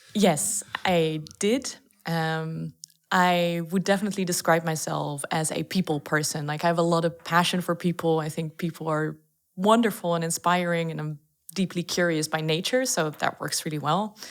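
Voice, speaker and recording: With a Dutch accent, a woman talks at a fairly low pitch with fairly even intonation. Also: moderate pace. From Netherlands. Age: 20s. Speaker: startup founder. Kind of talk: podcast interview.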